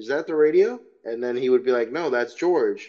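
Lively intonation marks this man's fairly high pitch. He has a normal speaking voice and moves at a fairly quick pace. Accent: American. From Chicago, Illinois. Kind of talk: casual interview.

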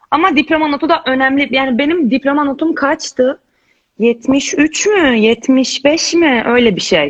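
The pace is very slow, with ordinary pitch variation. Loudness stays very even throughout. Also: woman, high pitch for a woman. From Romania, raised in Izmir, Turkey. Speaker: law student. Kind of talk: casual chat. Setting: video call.

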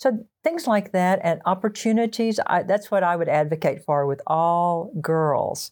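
In a Texan accent, a woman talks at a fairly slow pace with hardly any pauses, her medium pitch carried by lively intonation. Her loudness stays very even on a very clean recording with a silent background. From Texas (small town near the Red River). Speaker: associate pastor, former English teacher. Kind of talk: interview conversation.

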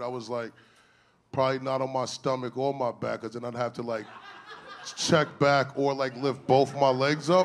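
With a plain, everyday voice, a man speaks at a medium pitch and a fairly quick pace. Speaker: stand-up comedian. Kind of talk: stand-up comedy set, crude, raunchy storytelling. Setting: stage with audience. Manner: deadpan, conversational, punchline-driven with self-laughs; casual slangy delivery, 'right?' tag after setups.

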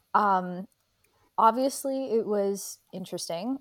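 Against a very clean, silent background, a woman with an American accent speaks at a fairly slow pace in a plain, everyday voice, at a medium pitch with ordinary pitch variation. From United States. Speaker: indie author. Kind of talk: casual chat.

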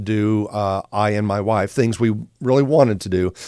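A man speaks in an ordinary speaking voice, medium in pitch with ordinary pitch variation. The recording is very clean, with a silent background. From US Midwest (Joplin, Missouri). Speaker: retired naval officer turned actor and TV co-host. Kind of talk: casual interview. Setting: studio.

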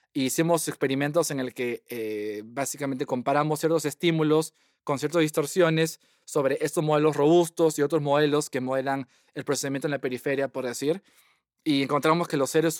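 Fairly high in pitch, a man speaks at a fairly quick pace with fairly even intonation. The very clean recording is dry and close, with no echo and a silent background. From Peru. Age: 30s. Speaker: computational neuroscientist. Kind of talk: interview.

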